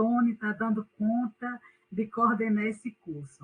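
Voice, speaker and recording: A woman's fairly high, somewhat breathy voice in a northeastern Brazilian accent, at a fairly slow pace. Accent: Northeastern Brazilian, unchanged. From Northeast Brazil. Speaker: university professor. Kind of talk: online class lecture.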